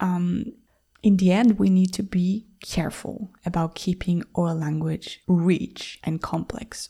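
A woman's dark, mellow, somewhat breathy tone at a fairly slow pace. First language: Spanish. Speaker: language teacher and podcast host. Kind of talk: educational monologue for English learners.

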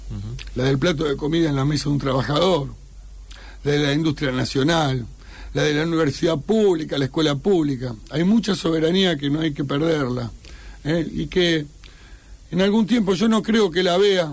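With an Argentine accent, a man speaks at a moderate pace. His fairly high pitch shows ordinary variation. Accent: Rioplatense Argentine Spanish. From Argentina. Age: 50s. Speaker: war veteran. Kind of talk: radio interview. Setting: studio.

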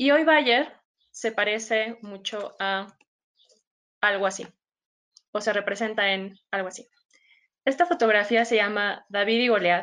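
Pausing long and often, a woman talks at a fairly slow pace in a fairly high pitch with ordinary pitch variation. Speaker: biologist and agtech data specialist. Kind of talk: webinar presentation.

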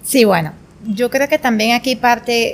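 An unremarkable speaking voice from a woman, fairly high in pitch, with ordinary pitch variation and a fairly slow pace. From Venezuela, Portuguesa state. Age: 20s. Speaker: spinning instructor and entrepreneur. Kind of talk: casual interview.

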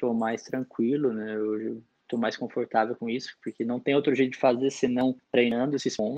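A man's medium-pitched voice with a dark, mellow tone, a moderate pace, and a dry, close sound with no echo. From interior of São Paulo state (Araras). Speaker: sommelier, national champion. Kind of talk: casual interview chat. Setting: remote recording.

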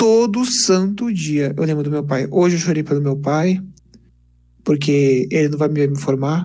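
Amid audible room echo, a man speaks at a fairly slow pace with a fairly high pitch. His tone is dark and mellow, with ordinary pitch variation. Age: 20s. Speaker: engineering student and YouTuber. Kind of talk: casual interview chat. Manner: animated.

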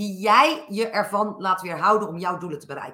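Here a woman speaks with a bright, sharp tone. Her pace is fairly slow. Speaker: business coach and podcaster. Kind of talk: live talk to audience. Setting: live recording with audience.

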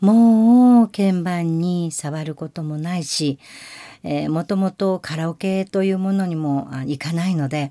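The pitch moves in an ordinary way. The tone is dark and mellow. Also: woman, fairly low pitch for a woman, fairly slow pace. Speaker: podcast host, amateur singer-pianist. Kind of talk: casual monologue.

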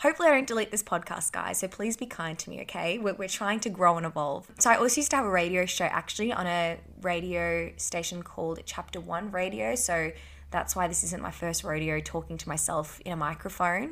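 A woman speaks very fast in a fairly low voice with vocal fry. Her tone is bright and sharp. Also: ordinary pitch variation, very clean recording, silent background. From South Africa, then regional Tasmania from age 13. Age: 20s. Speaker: podcast host. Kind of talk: casual solo podcast monologue.

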